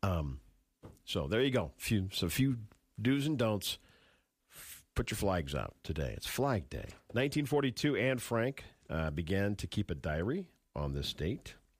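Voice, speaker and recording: Pausing long and often, a man with a fairly low pitch and vocal fry makes very wide pitch swings on a very clean recording with a silent background. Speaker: radio host. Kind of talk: casual chat. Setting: studio.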